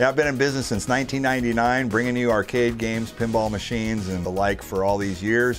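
Faint music plays in the background while a man talks at a fairly quick pace. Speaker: auctioneer. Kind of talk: casual talk to camera. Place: hall.

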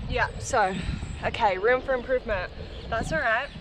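A woman's high voice, with ordinary pitch variation, against noticeable background noise. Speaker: fitness vlogger. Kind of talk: casual vlog chat. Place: open country.

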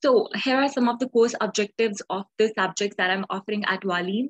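The woman's somewhat breathy voice moves at a moderate pace over a quiet background. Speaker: online tutor. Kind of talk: lecture. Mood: friendly, encouraging.

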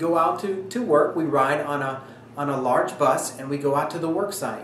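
A man speaks at a moderate pace with ordinary pitch variation. Light background noise and audible room echo are present. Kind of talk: informational talk to camera.

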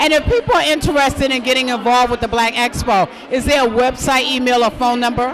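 A woman talks at a fairly quick pace in a high voice with a fairly bright tone and ordinary pitch variation, faint background noise behind her.

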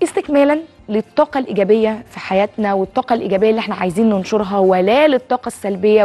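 Speaking at a very fast pace is a woman. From Egypt. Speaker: TV health show host and doctor; TV health show host. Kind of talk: TV sales pitch mixed with casual talk. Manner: animated. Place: studio. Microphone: lapel.

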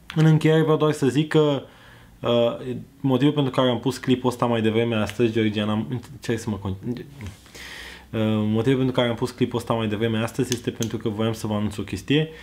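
A man's voice of medium pitch, with fairly even intonation and a slightly mellow tone.

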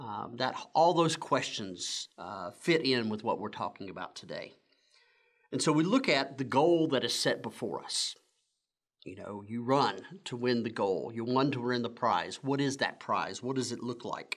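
The man keeps to a moderate speed. Pitch varies in an ordinary way over a quiet background. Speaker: church pastor. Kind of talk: sermon. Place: church.

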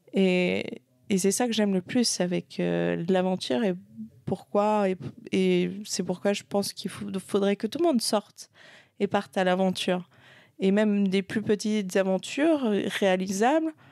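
The tone is dark and mellow, with ordinary pitch variation. The sound is dry and close, with no echo. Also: woman, very clean recording, silent background. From Switzerland. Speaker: adventurer in family business. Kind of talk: casual interview. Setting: event venue in Paris.

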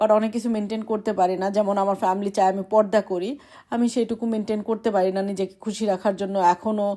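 A woman's dark, mellow tone in monotone, flat intonation, on a very clean recording with a silent background. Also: medium pitch for a woman. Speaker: vlogger. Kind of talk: casual monologue to camera.

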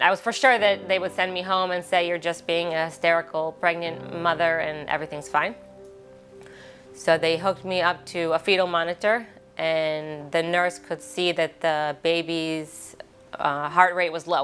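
Faint music plays behind a woman who speaks with an American accent and ordinary pitch variation. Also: fairly low pitch for a woman, moderate pace. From Baltimore, Maryland, USA. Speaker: mother of a hospital patient. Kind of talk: interview answer. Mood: emotional, grateful. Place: studio.

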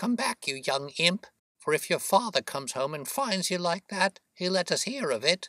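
In a put-on character voice, a man speaks high-pitched with big pitch swings, a bright, sharp tone and a moderate pace, the sound dry and close with no echo.

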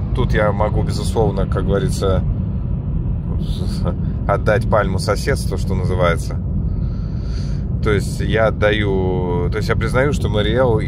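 Over loud background noise, a man talks at a fairly slow pace with long, frequent pauses, the sound dry with no echo. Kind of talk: casual vlog chat. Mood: reflective, self-deprecating. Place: car.

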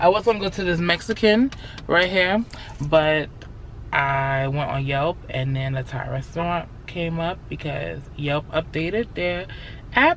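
Light background noise behind a female speaker. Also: dry sound with no echo. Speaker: vlogger. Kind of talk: casual vlog chat. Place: car. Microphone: phone near.

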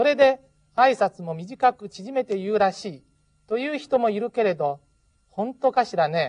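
A woman uses a normal speaking voice at a fairly high pitch and a fairly slow pace, her intonation lively. The sound is dry and close, with no echo. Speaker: Japanese language teacher. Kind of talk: tutorial.

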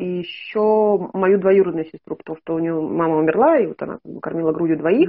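Against a quiet background, a woman speaks at a moderate pace. Her pitch is medium, with ordinary variation. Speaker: caller seeking consultation; caller. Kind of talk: interview answer. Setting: video call. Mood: earnest, personal story. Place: home room. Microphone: video call.

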